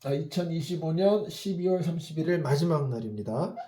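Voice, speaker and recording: A man with high pitch and a dark, mellow tone talks at a fairly slow pace with ordinary pitch variation. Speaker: network marketing lecturer. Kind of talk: online lecture. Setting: self-recorded video.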